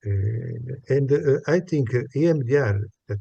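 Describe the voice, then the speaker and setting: A somewhat breathy man with a dark, mellow tone speaks at a fairly slow pace with ordinary pitch variation. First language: not English. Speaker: psychologist, workshop participant. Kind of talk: group discussion. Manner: halting, many hesitations.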